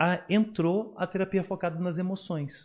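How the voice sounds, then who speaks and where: A man speaks fairly slowly, and the background is quiet. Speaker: psychologist and professor. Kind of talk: interview on psychology. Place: studio. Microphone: studio mic.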